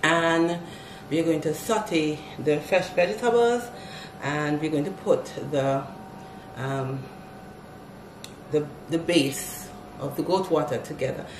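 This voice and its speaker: A woman speaks at a fairly slow pace in a fairly low pitch. Noticeable background noise runs behind her. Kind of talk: tutorial. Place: kitchen. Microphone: camera far.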